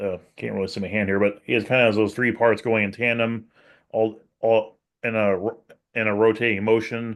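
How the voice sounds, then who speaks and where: This man's pitch sits fairly low. His intonation stays flat and monotone. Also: moderate pace. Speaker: podcast co-host. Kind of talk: casual podcast discussion.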